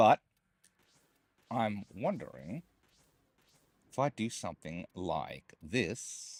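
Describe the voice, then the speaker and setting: Recorded with a dry, close sound and no echo, a man speaks with vocal fry and very wide pitch swings. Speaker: gaming streamer. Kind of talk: live gameplay commentary. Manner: casual.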